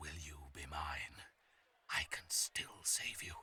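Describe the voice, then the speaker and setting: A man's whisper moves at a very slow pace. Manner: whispering.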